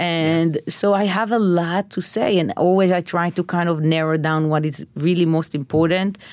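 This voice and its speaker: A woman with an Israeli accent speaks at a moderate pace in a fairly low pitch, with very even loudness and fairly even intonation. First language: Hebrew. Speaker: chef. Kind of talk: interview.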